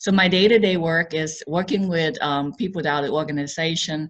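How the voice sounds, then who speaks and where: At a fairly quick pace, a woman speaks somewhat breathily with ordinary pitch variation against a quiet background. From Laos. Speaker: equity officer. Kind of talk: interview. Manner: halting.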